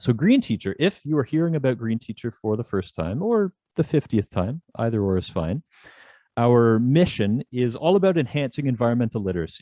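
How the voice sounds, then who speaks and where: Talking at a fairly quick pace, a man of medium pitch with a Canadian accent makes very wide pitch swings. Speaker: webinar host, magazine editor. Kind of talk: webinar introduction. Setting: online webinar. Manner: casual, digressive.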